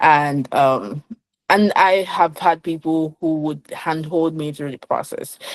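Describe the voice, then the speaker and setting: A woman with a Nigerian accent speaks at a very slow pace. Her pitch is very deep and low, with ordinary variation. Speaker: finance professional. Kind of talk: interview conversation.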